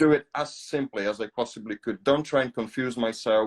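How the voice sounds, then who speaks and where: Speaking at a moderate pace with a Polish accent, a man shows ordinary pitch variation in a dry, close sound with no echo. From Poland. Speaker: podcast host. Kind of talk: casual chat. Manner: halting, many fillers.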